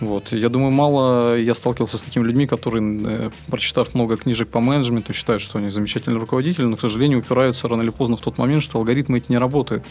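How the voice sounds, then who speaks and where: Talking at a very fast pace, a man leaves hardly any pauses. His medium-pitched voice holds a fairly even intonation. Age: 30s. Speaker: chef and restaurant business owner. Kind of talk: interview.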